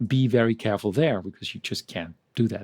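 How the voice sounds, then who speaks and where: In a very clean recording with a silent background and a dry, close sound with no echo, a man with a non-native accent talks at a moderate pace in a medium-pitched voice with a dark, mellow tone. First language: not English. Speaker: medical publication trainer. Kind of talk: presentation.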